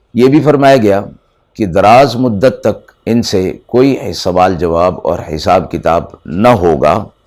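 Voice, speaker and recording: In an ordinary speaking voice, a man with fairly low pitch talks with lively intonation. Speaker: Islamic scholar giving Quran lecture. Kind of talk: Quran exegesis lecture (tafseer) to an audience.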